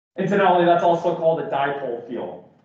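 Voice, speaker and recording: A man speaks at a very fast pace with ordinary pitch variation. Audible room echo and noticeable background noise are present. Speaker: physics professor. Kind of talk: lecture. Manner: halting, many fillers.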